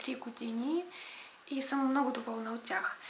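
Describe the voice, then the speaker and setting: There is noticeable background noise behind a woman's high-pitched voice. She speaks at a fairly slow pace with fairly even intonation. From Ukraine. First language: Russian (speaking Bulgarian). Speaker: beauty vlogger. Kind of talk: casual vlog talk to camera.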